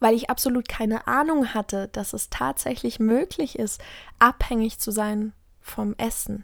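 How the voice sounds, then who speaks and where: A woman speaks at a fairly slow pace in an unremarkable speaking voice. Her pitch is fairly high, with ordinary variation. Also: very clean recording, silent background. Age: 20s. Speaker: weight-loss motivational podcaster. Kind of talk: personal monologue.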